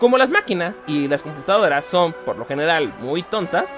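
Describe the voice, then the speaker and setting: A man speaks at a high pitch with very wide pitch swings. Music plays in the background. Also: moderate pace. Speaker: teacher / historian and informatics technician. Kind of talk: educational podcast narration.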